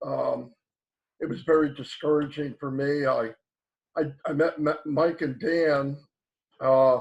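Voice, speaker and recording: A man with a fairly high voice speaks with fairly even intonation. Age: 60s. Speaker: online marketer. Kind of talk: casual chat.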